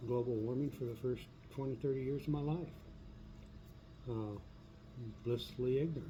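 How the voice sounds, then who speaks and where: At a fairly quick pace, a man with a medium-pitched voice speaks in a fairly even intonation, taking long, frequent pauses, with audible echo in the room. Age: 70s. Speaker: video blogger. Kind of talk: personal monologue. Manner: halting, with many fillers.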